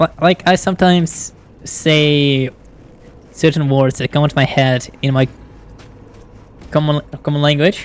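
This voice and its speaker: Speaking with a non-native accent, a woman with a very deep, low pitch talks at a fairly slow pace with fairly even intonation and long, frequent pauses. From outside the US. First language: not English. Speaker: VTuber streamer. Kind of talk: live gameplay commentary.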